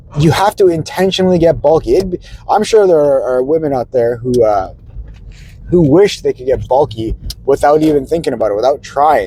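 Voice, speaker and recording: There is noticeable background noise. A man talks at a fairly quick pace with lively intonation. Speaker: fitness vlogger. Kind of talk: casual vlog monologue. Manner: hesitant, many fillers.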